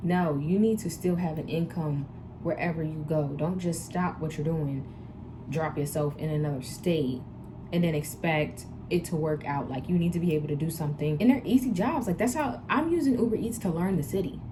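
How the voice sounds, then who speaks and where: A woman speaks in an animated tone at a fairly low pitch with lively intonation. Her pace is fairly quick, and audible room echo surrounds her. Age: 20s. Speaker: vlogger and tattoo artist. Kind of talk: casual vlog Q&A advice.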